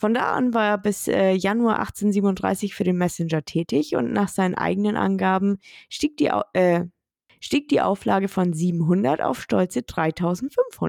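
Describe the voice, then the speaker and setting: Recorded very cleanly against a silent background, a woman with an unremarkable speaking voice talks at a medium pitch and a fairly slow pace. The sound is dry and close with no echo, her intonation is lively, and her loudness stays very even. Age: 30s. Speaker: true crime podcast host. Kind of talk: casual storytelling chat.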